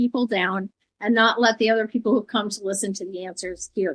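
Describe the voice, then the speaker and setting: In a US Midwestern accent, a woman speaks at a fairly high pitch with ordinary pitch variation, in a dry, close sound with no echo. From Iowa, US Midwest. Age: 70s. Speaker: former first lady and education advisor. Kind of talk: casual chat. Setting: podcast.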